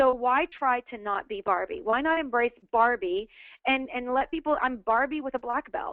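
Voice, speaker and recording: The woman's voice is high-pitched and animated, with lively intonation. She talks at a moderate pace. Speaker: network marketing leader. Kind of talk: webinar motivational talk. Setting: webinar call.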